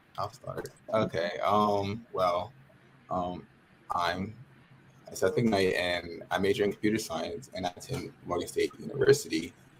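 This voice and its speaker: Fairly slow speech with long, frequent pauses, in an American accent. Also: man. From Harford County, Maryland. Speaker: college student. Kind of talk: casual chat. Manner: halting, many fillers.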